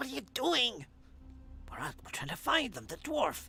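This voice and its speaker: Someone performs a put-on character voice at a fairly high pitch. The pace is moderate, with clear background noise. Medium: actual play. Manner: loud, blurting.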